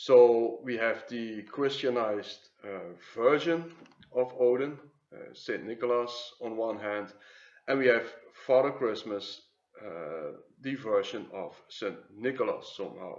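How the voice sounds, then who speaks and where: With a Flemish accent, a man talks at a fairly slow pace in a medium pitch, his pitch varying in an ordinary way while his loudness swings widely. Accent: Flemish Dutch accent in English. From Flanders, Belgium. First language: Dutch. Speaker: YouTube commentator on symbols and mythology. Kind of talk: video commentary. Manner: hesitant, many filler sounds.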